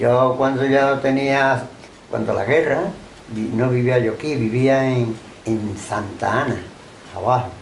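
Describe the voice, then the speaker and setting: Amid noticeable background noise and audible room echo, a man talks at a fairly slow pace with fairly even intonation and long, frequent pauses. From Andalusia, Málaga coast (Benalmádena). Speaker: oral history interviewee. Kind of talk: oral history interview.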